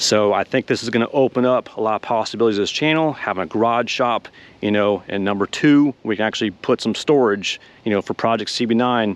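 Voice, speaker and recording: An unremarkable speaking voice from a man, medium in pitch, at a fairly quick pace, dry and close with no echo against a quiet background. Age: 40s. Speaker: car hobbyist YouTuber. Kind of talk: casual vlog.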